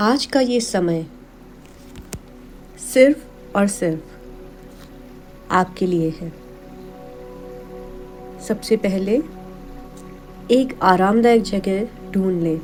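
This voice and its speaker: Long, frequent pauses from a woman with a calm, soothing tone, medium pitch and ordinary pitch variation, music in the background. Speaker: meditation guide. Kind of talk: guided meditation narration. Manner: slow, calm, soothing.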